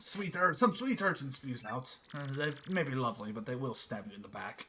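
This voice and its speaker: A man's put-on character voice at medium pitch and a moderate pace, with lively intonation. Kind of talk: comic overacting. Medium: actual play. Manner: pompous, theatrical, broken grammar.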